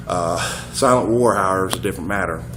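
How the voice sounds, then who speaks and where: A man's fairly low voice at a very fast pace, with music in the background and audible room echo. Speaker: fitness vlogger. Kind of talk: casual vlog monologue. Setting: handheld camera, self-recorded. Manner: halting, many fillers.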